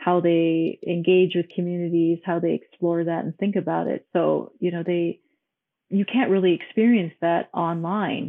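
A fairly low-pitched woman's voice with an American accent, moving at a moderate speed. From Hong Kong, then Minnesota. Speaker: architect. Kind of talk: casual interview. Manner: energetic.

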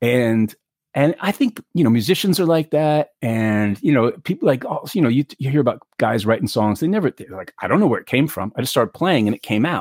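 A man with an American accent speaks at a fairly quick pace in a fairly high pitch. His pitch swings very widely, and the sound is dry and close with no echo. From New York City. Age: 50s. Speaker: actor. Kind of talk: casual interview chat. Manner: animated.

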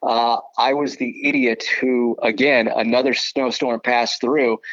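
In an American accent, the speech moves at a fairly slow pace, with a dry, close sound and no echo. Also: man. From Southern California. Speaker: baseball broadcaster. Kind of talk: casual interview.

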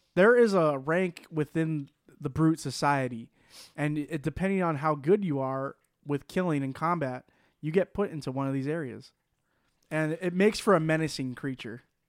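A man talks in a normal speaking voice, pitched fairly high. His pace is moderate and his pitch varies in an ordinary way. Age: 20s. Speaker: podcast host. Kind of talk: casual chat.

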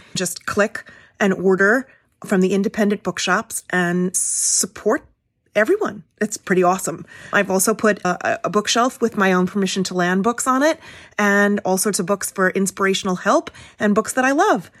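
A woman's medium-pitched, unremarkable speaking voice at a moderate pace with ordinary pitch variation, dry, close sound with no echo, and a very clean recording with a silent background. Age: 50s. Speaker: podcast host. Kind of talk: scripted intro; casual interview.

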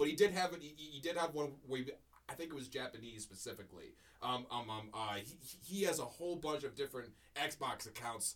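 An ordinary speaking voice, a man with an American accent, fairly high pitch, lively intonation and a fairly quick pace. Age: 20s. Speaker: podcast co-host. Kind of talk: casual chat. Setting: studio.

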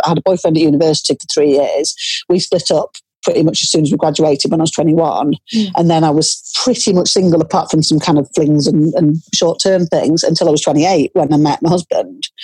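Delivered at a very fast pace in a Cumbrian accent, the speech has ordinary pitch variation and very even loudness in a dry, close sound with no echo. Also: woman, fairly low pitch for a woman. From northern England, Cumbria. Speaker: author. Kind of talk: interview.

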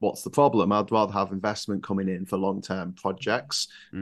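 This man has a northern English accent and a fairly low pitch. He talks at a very fast pace against a quiet background. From northern England. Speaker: political YouTuber. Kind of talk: casual chat.

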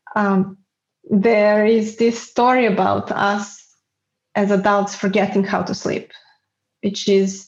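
A woman speaks very slowly, with long, frequent pauses. Her medium-pitched voice is somewhat breathy and flat, almost monotone. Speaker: guest with multiple sclerosis. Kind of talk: casual interview. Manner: halting, self-correcting.

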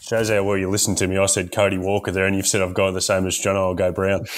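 In an Australian accent, the speaker talks at a very fast pace with monotone, flat intonation and very even loudness over noticeable background noise. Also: man, fairly low pitch for a man. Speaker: podcast guest. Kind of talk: casual, blokey banter.

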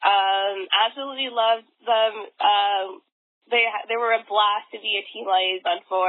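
A woman at a medium pitch speaks at a moderate pace, her intonation fairly even but her loudness swinging widely. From Vancouver, Canada. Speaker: dancer and dance competition organizer. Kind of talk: casual interview.

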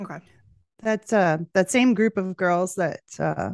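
A woman speaks with a Canadian accent. The sound is dry and close, with no echo. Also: quiet background. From Western Canada. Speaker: podcast host, guest. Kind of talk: casual chat. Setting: video call.

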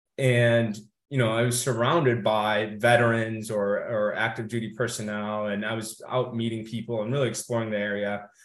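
A man's medium-pitched voice at a fairly quick pace, fairly even in intonation, with audible room echo. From US Midwest, Kenosha, Wisconsin. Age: 30s. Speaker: Marine Corps veteran, corporate strategist. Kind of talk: interview.

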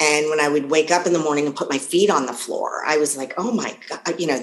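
Amid noticeable background noise, a woman with an American accent speaks in a very deep, low pitch. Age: 50s. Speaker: health and life coach. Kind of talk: interview.

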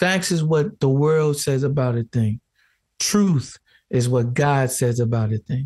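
Very slowly, a man talks in a somewhat breathy, fairly high voice, with a dry, close sound and no echo. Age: 30s. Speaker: podcaster and theologian. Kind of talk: casual chat. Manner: animated.

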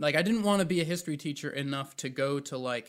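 In a very clean recording with a silent background, a man with an American accent speaks at a moderate pace and a fairly high pitch. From North Carolina (Raleigh). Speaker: aspiring comedian. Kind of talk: casual chat. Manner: halting, many fillers.

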